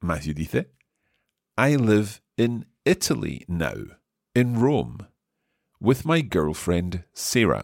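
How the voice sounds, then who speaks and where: In a very clean, dry and close recording with a silent background and no echo, a man with a fairly low pitch uses vocal fry and very wide pitch swings. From Scotland. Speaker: language teacher. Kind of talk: language lesson.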